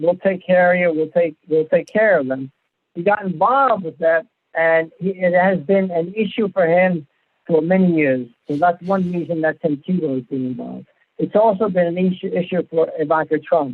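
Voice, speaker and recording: Speaking with a high pitch, a man keeps a moderate tempo and ordinary pitch variation. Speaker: radio show host. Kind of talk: radio show host talk. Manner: conversational, matter-of-fact.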